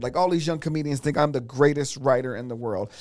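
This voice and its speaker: A man with an American accent and a plain, everyday voice speaks at a fairly quick pace, fairly high in pitch, with ordinary pitch variation. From US West (California, Inglewood area). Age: 50s. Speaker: comedian and former talk show host. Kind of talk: casual chat.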